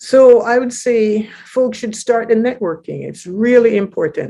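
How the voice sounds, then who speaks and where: A dark, mellow tone at a fairly slow pace. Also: woman. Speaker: poet and spoken word performer. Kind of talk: interview answer. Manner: casual, conversational.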